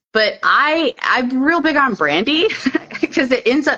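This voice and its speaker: A woman with a Southern US accent, against noticeable background noise. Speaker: herbalist. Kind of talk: casual chat. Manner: casual, filler-heavy.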